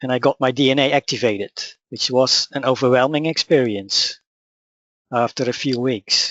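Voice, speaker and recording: A man with a Dutch accent talks at a moderate pace and medium pitch, with fairly even intonation. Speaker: spiritual teacher. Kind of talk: webinar presentation. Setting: online webinar.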